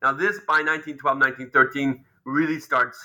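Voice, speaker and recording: A man speaks at a fairly slow pace in a fairly high pitch, with a bright, sharp tone and fairly even intonation, on a very clean recording with a silent background. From Israel. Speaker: history professor. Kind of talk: interview. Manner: halting.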